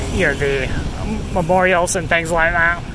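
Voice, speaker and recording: The sound is dry with no echo. Noticeable background noise can be heard. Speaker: walking tour vlogger. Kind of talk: casual vlog chat. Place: street. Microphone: phone near.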